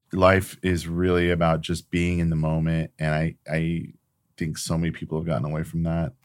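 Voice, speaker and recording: A man with an American accent and a very deep, low pitch speaks in a monotone, flat way on a very clean recording with a silent background. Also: moderate pace. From California, Sacramento. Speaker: photographer. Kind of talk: casual chat. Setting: home recording studio.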